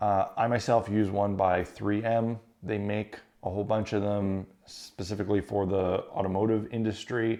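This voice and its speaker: A man's fairly low, dark, mellow voice, flat and monotone, at a moderate pace against a quiet background. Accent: Canadian Prairies. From Canada, Winnipeg, Manitoba. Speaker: YouTube crafting and tabletop terrain creator. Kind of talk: casual Q&A monologue. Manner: casual, conversational with fillers.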